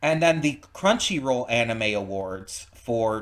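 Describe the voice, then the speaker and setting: A man's normal speaking voice, medium in pitch, at a fairly slow pace. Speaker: reaction video host. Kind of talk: casual reaction commentary.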